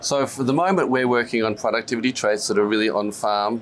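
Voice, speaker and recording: With music in the background, a man speaks at a fairly quick pace in an Australian accent, at a medium pitch with ordinary pitch variation. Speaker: company CEO and scientist. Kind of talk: business interview. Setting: stock exchange floor. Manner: hesitant, many fillers.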